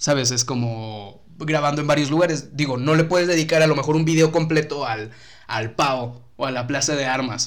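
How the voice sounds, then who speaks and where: With ordinary pitch variation and an ordinary speaking voice, a man speaks at a moderate pace. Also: fairly high pitch for a man. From Mexico, Tampico (Tamaulipas). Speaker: YouTube content creator. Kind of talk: casual chat.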